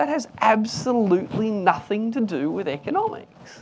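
A man with an Australian accent and a high pitch. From Australia, Newcastle NSW. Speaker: economist. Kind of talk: panel discussion.

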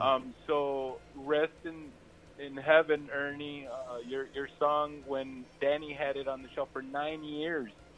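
With an American accent, the speaker talks at a fairly slow pace in a monotone, flat delivery while music plays in the background. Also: man, fairly high pitch for a man. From South Texas (Rio Grande Valley). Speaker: Tejano singer. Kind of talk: radio interview. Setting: phone call from a moving car.

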